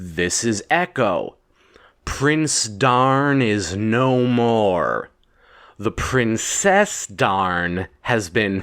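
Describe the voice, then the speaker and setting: Using a put-on character voice, a man speaks at a very slow pace with lively intonation and a medium pitch. His loudness is very even, and the recording is very clean with a silent background. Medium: read story.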